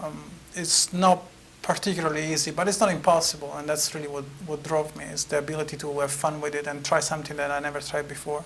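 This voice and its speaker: A man with an Italian accent speaks very fast in a fairly high voice with flat, monotone intonation. Noticeable background noise runs underneath. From Italy. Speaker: author. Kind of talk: interview. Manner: halting, many fillers.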